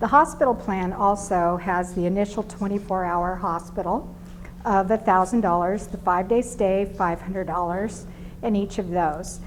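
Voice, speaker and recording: A woman speaks at a moderate pace with a plain, everyday voice. Her pitch is medium and her intonation fairly even. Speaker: insurance sales rep. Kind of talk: business presentation.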